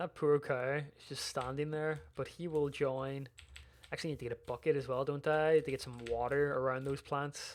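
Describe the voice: The speaker has a Northern Irish accent and a moderate pace.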